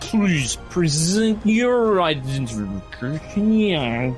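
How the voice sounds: A man uses a put-on, robotic character voice at a high pitch. He talks at a very slow pace, with clear music in the background.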